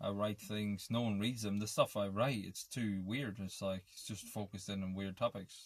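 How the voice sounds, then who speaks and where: In an Irish accent, a man speaks at a moderate pace with a fairly low pitch and monotone, flat intonation, in a very clean recording with a silent background. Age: 30s. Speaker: vlogger. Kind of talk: casual monologue. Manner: halting.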